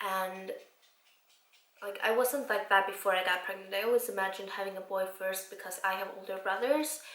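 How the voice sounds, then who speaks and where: A woman with an Icelandic accent speaks at a fairly quick pace and medium pitch with ordinary pitch variation, amid noticeable background noise and audible room echo. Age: 20s. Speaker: vlogger. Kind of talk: casual chat.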